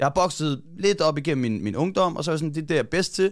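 A man talks very fast with a fairly high pitch. His pitch varies in an ordinary way. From Denmark, Copenhagen area (Hvidovre). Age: 30s. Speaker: boxing coach. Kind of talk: casual chat. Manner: halting, many fillers and repeated words.

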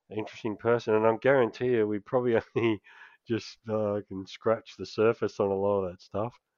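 Speaking fairly quickly, this man has an Australian accent. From Australia, Canberra. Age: 50s. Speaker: podcast host. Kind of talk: casual chat.

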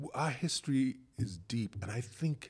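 A man with a Bahamian accent speaks at a very slow pace. His voice is somewhat breathy, with lively intonation. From The Bahamas. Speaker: podcast host, dancer and choreographer. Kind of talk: casual interview conversation.

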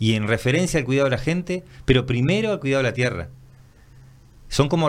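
With lively intonation and a medium pitch, a man speaks at a fairly quick pace. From Uruguay, Minas (Lavalleja). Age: 50s. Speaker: permaculture practitioner. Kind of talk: casual interview.

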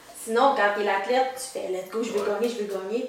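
Noticeable background noise and audible room echo sit behind the recording. A woman talks in a monotone, flat intonation. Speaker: powerlifting coach and kinesiologist. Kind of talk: casual chat.

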